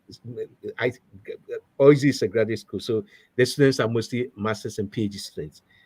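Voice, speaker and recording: With a Ghanaian accent, a man speaks at a fairly quick pace yet with long, frequent pauses, sounding somewhat breathy at medium pitch, with ordinary pitch variation and big swings in loudness. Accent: Ghanaian accent, kept. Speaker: professor. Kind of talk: interview. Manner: halting, many fillers and repetitions.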